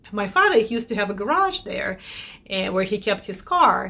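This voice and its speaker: A woman speaks in a Russian accent. Her tone is bright and sharp. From Belarus. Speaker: lifestyle vlogger. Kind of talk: casual chat to camera. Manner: conversational with self-corrections.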